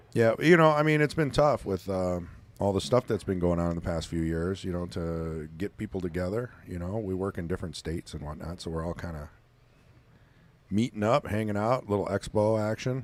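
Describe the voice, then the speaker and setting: A man with a Wisconsin accent talks at a fairly quick pace in a very deep, low pitch. His intonation is lively, and the recording is very clean with a silent background. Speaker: pool commentator. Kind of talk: live commentary. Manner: casual, conversational.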